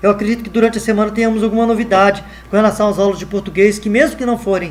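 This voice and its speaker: A man talks very fast in a high voice. Noticeable background noise runs behind him. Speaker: math teacher. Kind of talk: online lesson. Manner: halting, many fillers.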